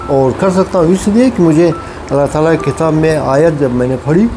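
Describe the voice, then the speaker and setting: Noticeable background noise sits under a man's voice. His pitch is fairly high, with ordinary variation. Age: 70s. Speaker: vlogger. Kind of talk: casual talk to camera. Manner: halting.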